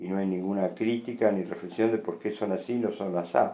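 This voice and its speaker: Speaking at a fairly slow pace, a man with a dark, mellow tone keeps his intonation fairly even against audible room echo. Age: 60s. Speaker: philosophy lecturer. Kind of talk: lecture. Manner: conversational with frequent fillers.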